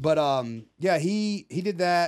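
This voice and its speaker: A man has an unremarkable speaking voice with lively intonation. The recording is very clean, with a silent background. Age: 30s. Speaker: fishing YouTuber and army veteran. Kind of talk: casual chat.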